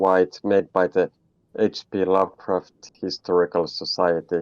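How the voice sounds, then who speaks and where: A man with a Finnish accent, fairly low pitch and a fairly slow pace, in a dry, close sound with no echo. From Finland. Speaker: indie game developer. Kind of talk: interview. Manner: halting, many fillers and repetitions.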